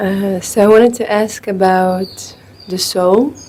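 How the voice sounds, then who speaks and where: Over noticeable background noise, a woman with a medium pitch speaks very slowly, her intonation fairly even. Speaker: satsang participant asking a question. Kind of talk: question to a spiritual teacher. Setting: gathering with microphone. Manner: halting. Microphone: handheld mic, speaker may be too quiet.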